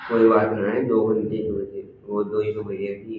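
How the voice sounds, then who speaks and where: In a room with audible echo, a man speaks at a fairly low pitch with monotone, flat intonation. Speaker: YouTuber doing challenge videos. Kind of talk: vlog, casual chat.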